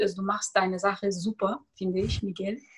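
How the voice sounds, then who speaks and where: The pace is fairly quick. The voice belongs to a woman. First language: Tajik and Russian (speaking German). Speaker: author and personal development coach. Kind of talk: interview conversation.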